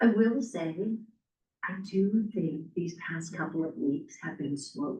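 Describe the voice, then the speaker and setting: Somewhat breathy and very slow, the voice carries lively intonation broken by long, frequent pauses. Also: woman. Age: 60s. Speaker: real estate agent trainer. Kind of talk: casual group discussion.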